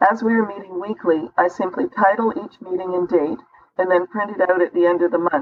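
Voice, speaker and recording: A woman talks at a fairly quick pace in a plain, everyday voice. Her pitch is medium, with ordinary pitch variation. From Canada. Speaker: business consultant. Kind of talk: interview answer.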